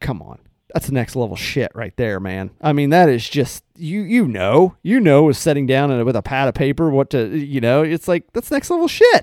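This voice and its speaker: This man has an ordinary speaking voice, fairly high in pitch, with lively intonation. He talks at a moderate pace with hardly any pauses, in a dry, close sound with no echo. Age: 40s. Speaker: podcast co-host. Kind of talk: casual chat.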